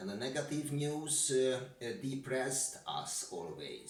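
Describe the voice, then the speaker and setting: Someone with a Hungarian accent talks at a very slow pace, with noticeable background noise and audible room echo. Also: man. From Hungary. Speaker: security expert. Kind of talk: interview. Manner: halting, many fillers.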